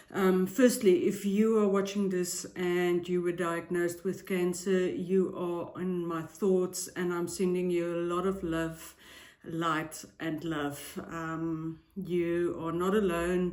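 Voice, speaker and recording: A woman speaks very slowly with hardly any pauses, her fairly low voice flat and monotone against audible room echo. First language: not English. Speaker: tarot reader and psychic YouTuber. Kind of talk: casual vlog intro. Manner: hesitant, frequent filler ums.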